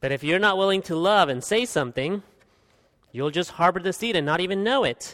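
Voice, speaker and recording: A man talks at a high pitch and a moderate pace with lively intonation. The recording is very clean, with a silent background. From Guatemala. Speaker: pastor. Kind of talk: sermon. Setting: church.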